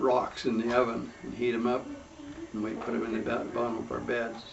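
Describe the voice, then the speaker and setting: A man with a Utah accent at a medium pitch and moderate pace, with audible room echo and noticeable background noise. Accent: rural Utah American. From Utah, Cache Valley. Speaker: family elder telling his life story. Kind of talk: oral history interview. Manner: halting. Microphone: poor recording quality.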